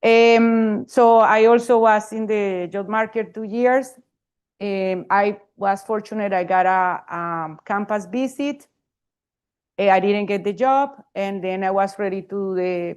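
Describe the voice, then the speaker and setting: A woman at a medium pitch with a Spanish accent, fairly slow pace and a quiet background. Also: ordinary pitch variation. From Colombia. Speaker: professor, panelist. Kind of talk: panel talk. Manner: halting.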